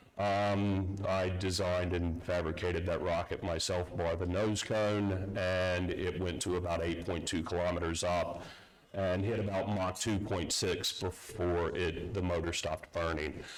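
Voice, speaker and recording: With an American accent, the speaker talks in a monotone, flat way with hardly any pauses, amid audible room echo and noticeable background noise. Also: man, very deep, low pitch for a man. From US South, North Carolina. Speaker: security consultant, conference speaker. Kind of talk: conference talk. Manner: halting, many fillers.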